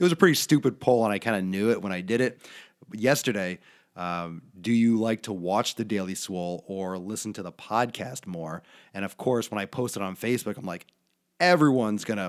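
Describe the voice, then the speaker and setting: A soft-spoken man with a fairly low pitch, ordinary pitch variation and a fairly quick pace, on a very clean recording over a silent background. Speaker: fitness podcast host. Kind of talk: casual monologue. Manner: soft-spoken, lowered voice.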